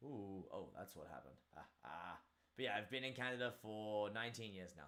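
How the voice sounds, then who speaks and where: A man with an Australian accent, lively intonation and a fairly quick pace. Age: 30s. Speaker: martial arts instructor and streamer. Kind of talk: casual live stream chat.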